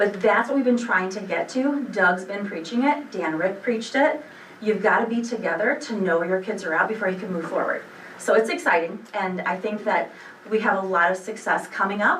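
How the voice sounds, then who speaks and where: With lively intonation and a fairly quick pace, a woman at medium pitch is heard amid noticeable background noise and audible room echo. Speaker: school administrator. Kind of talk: board meeting report. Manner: fast; animated.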